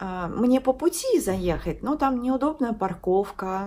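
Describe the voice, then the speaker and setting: Very wide pitch swings in a woman's speech. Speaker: lifestyle vlogger. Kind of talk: casual vlog chat. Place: home room. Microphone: phone near.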